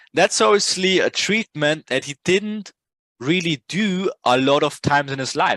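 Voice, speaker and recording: With a non-native accent, a man speaks fairly slowly in a bright, sharp tone with lively intonation. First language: not English. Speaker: trading educator. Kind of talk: casual tutorial talk. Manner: animated; halting.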